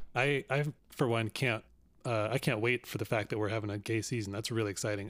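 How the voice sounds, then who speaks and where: Speaking at a very fast pace, a man uses a medium pitch. The recording is very clean, with a silent background. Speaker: podcast host. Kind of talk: casual interview chat.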